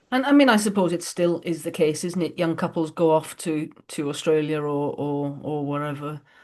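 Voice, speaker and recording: A woman with a Welsh accent speaks in a very deep, low voice with ordinary pitch variation against a quiet background. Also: moderate pace, hardly any pauses. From Wales. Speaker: podcast host. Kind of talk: interview. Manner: halting.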